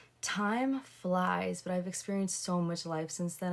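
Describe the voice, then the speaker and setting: A woman talks at a moderate pace in a fairly low pitch. Hers is a normal speaking voice. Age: 20s. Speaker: lifestyle livestreamer. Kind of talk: casual livestream chat. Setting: livestream at home. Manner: rambling, filler-heavy.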